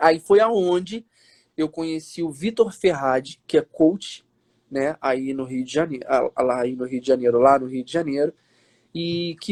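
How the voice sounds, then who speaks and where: In a normal speaking voice, a man talks at a moderate pace with ordinary pitch variation, and the sound is dry and close with no echo. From Minas Gerais, Brazil (Matias Barbosa, near Juiz de Fora). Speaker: actor. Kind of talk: interview on a live stream. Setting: live video stream.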